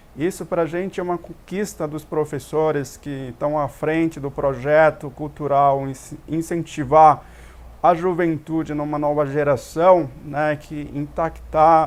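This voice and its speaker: Speech comes at a fairly slow tempo, its intonation fairly even. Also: man. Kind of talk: TV talk show interview. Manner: halting, with many repetitions.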